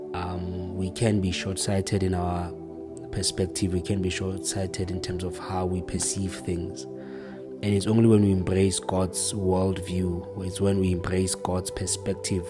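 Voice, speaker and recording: The speaker is a man at a middling tempo. Music sounds clearly behind him. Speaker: preacher. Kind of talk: sermon. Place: home room. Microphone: studio mic.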